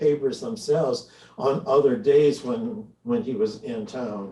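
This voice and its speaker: With an American accent, a man speaks in a fairly high, dark and mellow voice. It is somewhat breathy, and his pitch swings very widely. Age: 80s. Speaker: longtime reader, speaker. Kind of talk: conversational presentation. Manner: halting, many fillers.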